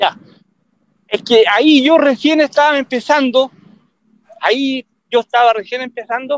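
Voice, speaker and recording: A man with an extremely high voice speaks at a fairly slow pace with fairly even intonation and long, frequent pauses, the sound dry with no echo. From Chile, Concepción. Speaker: veteran roller speed skating coach. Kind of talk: interview, reminiscing. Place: street. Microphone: video call.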